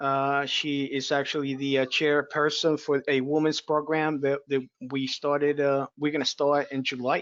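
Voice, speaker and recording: The man has a non-native accent. His pitch sits fairly high. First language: not English. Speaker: referee webinar host. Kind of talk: webinar small talk. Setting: video call webinar.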